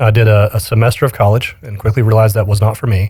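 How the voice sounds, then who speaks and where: With an American accent, a man speaks at a medium pitch, somewhat breathy, his intonation monotone and flat. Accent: slight Southern accent, mostly trained away. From Alabama, US South. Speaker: live production company owner. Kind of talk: casual interview chat.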